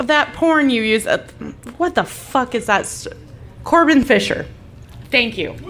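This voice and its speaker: Lively intonation marks this woman's high-pitched voice, with long, frequent pauses at a fairly slow pace. Noticeable background noise runs underneath. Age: 40s. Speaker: podcaster. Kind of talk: casual chat. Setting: live recording with audience.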